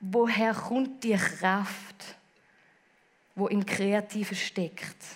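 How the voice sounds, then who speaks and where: A woman with a Swiss accent speaks at a very slow pace and a medium pitch, leaving long, frequent pauses. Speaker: preacher. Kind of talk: sermon.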